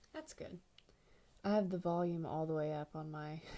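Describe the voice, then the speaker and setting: This soft-spoken woman has a fairly low pitch and a dark, mellow tone, talking at a moderate pace with fairly even intonation. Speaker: artist streamer. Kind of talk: casual livestream chat while painting. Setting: home livestream, quiet house. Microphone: too quiet.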